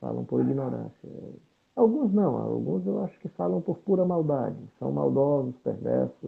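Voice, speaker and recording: Big loudness swings from a male speaker, his delivery at a moderate rate. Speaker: pastor. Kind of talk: interview.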